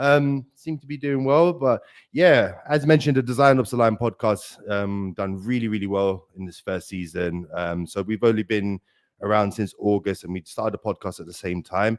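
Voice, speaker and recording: In a South London accent, a man's voice swings widely in loudness, recorded with a dry, close sound and no echo. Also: fairly low pitch for a man, lively intonation, moderate pace. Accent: South London accent, noticeable. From South London, England. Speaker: design operations consultant and podcaster. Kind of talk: live webinar interview.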